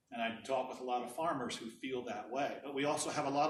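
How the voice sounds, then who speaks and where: There is audible room echo around this man's voice. He speaks at a medium pitch and a fairly quick pace. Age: 60s. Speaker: energy policy director. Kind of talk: presentation.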